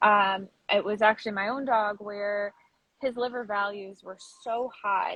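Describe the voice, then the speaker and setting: A woman speaks with fairly even intonation. Her pitch is fairly high. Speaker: pet food writer and advocate. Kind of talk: interview. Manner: fast.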